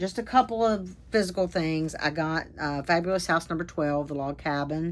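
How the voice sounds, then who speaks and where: The speaker uses a normal speaking voice at a moderate pace, with ordinary pitch variation. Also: woman. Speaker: crafting vlogger. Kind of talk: casual monologue vlog update.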